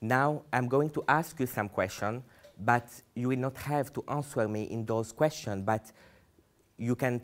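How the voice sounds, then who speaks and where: A man speaks at a moderate pace with a non-native accent. His pitch is medium and varies in an ordinary way. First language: not English. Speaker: human rights activist. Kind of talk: public speech.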